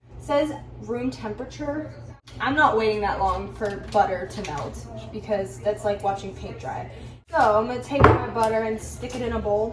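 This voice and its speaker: A woman talks at a moderate pace with an animated tone and big swings in loudness. Music plays in the background, and the room echo is audible. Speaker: baking vlogger. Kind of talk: casual tutorial.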